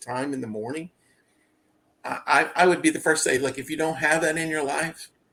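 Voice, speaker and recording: A man with a fairly high pitch and ordinary pitch variation talks while music plays in the background. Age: 60s. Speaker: interview guest on weight loss. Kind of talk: casual interview. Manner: repeats words, false starts.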